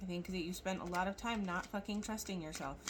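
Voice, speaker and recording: Audible room echo surrounds a woman whose fairly low voice sounds somewhat breathy. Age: 40s. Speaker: tarot reader. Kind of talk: casual tarot reading monologue. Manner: mouth not fully opening, slightly altered speech.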